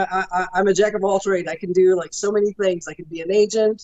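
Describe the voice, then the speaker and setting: Noticeable background noise sits under a woman speaking at a fairly quick pace. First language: French. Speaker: professional wrestler. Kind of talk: interview.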